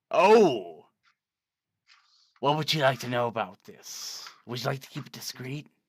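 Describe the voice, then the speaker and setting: Using a put-on character voice, a man of medium pitch speaks at a moderate pace with very wide pitch swings and big swings in loudness. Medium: actual play. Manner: salesman patter, grandiose.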